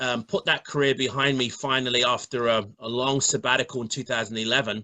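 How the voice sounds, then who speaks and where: Speaking fairly quickly with a London accent, a man keeps a medium pitch and fairly even intonation. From London, England. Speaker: bodybuilder and fitness coach. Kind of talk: interview. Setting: online live stream. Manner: repeats words often, halting starts.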